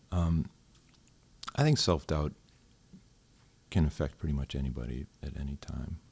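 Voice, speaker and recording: A man with an American accent speaks at a moderate pace in a very deep, low, somewhat breathy voice with ordinary pitch variation and long, frequent pauses. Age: 60s. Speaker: retired corrections officer. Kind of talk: podcast interview. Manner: hesitant, many fillers.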